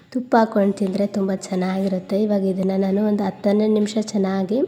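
There is noticeable background noise as a woman talks at a medium pitch. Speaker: home cooking vlogger. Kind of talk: vlog voice-over with recipe tutorial.

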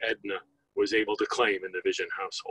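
A man is speaking. The sound is dry with no echo. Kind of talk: eulogy. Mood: solemn, measured. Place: open country.

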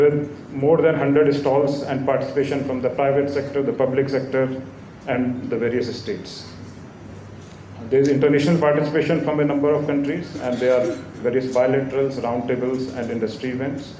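A man talks at a fairly quick pace in a monotone, flat delivery. Audible room echo and light background noise surround him. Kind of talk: formal speech. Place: hall. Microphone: podium.

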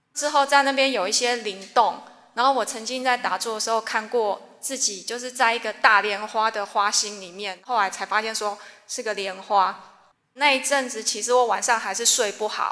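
The voice has a bright, sharp tone, fairly even intonation and a moderate pace, set against a quiet background. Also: woman, fairly high pitch for a woman. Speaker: religious follower. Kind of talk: testimony. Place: hall.

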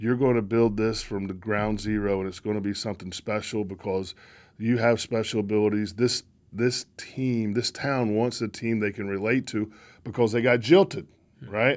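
Speaking with a North Carolina accent, this man has a fairly low pitch. His pace is moderate and his intonation fairly even. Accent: Southern US (North Carolina). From North Carolina, Locust. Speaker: baseball executive; interview guest. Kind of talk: casual chat. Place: studio. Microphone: studio mic.

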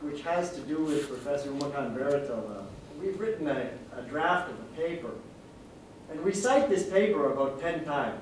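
A man's fairly quick, fairly high-pitched speech amid light background noise and audible room echo. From Singapore. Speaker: law professor, paper discussant. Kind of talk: conference discussion. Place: meeting room.

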